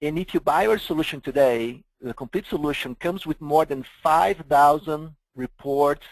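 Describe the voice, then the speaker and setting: A man with a Brazilian accent, fairly high-pitched, with ordinary pitch variation and a moderate pace, in a dry, close sound with no echo. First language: Portuguese. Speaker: software vendor presenter. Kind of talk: webinar product presentation.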